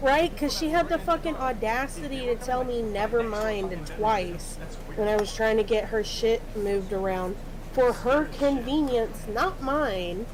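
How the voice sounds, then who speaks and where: Over noticeable background noise and audible room echo, a woman with a fairly high pitch talks at a fairly slow pace with lively intonation. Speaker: streamer and workplace supervisor. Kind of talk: casual chat.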